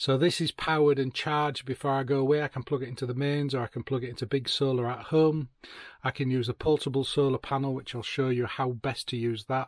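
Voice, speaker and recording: Over a quiet background, a man speaks very fast in a monotone, flat delivery, the sound dry with no echo. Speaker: van lifer reviewing gear. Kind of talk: product review tutorial. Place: car. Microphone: phone near.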